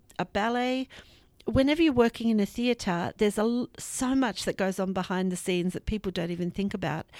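Fairly high in pitch, a woman speaks with lively intonation at a fairly quick pace. The recording is very clean, with a silent background. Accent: Australian. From Australia. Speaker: arts education director. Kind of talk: interview.

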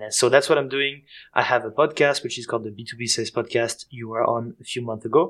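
A man with a French accent speaks at a fairly quick pace in a very clean recording with a silent background. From Switzerland and France. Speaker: sales coach and founder. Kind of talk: interview.

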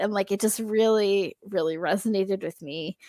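On a very clean recording with a silent background, a woman speaks at a moderate pace and medium pitch with ordinary pitch variation. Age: 40s. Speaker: podcaster and fanfic writer. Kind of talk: casual chat. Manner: talkative.

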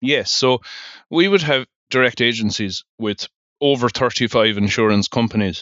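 In an Irish accent, a man speaks at a medium pitch with ordinary pitch variation. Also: moderate pace. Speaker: insurance broker. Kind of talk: interview.

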